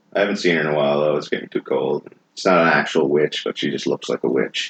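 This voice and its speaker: A mumbling man at a very fast pace, dry and close with no echo. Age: 30s. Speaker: firefighter. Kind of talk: casual chat. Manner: flat, eerie cadence.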